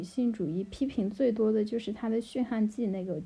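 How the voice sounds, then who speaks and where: A woman's somewhat breathy voice sits at a fairly high pitch with ordinary pitch variation. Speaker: PhD student in comparative literature. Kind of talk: casual chat.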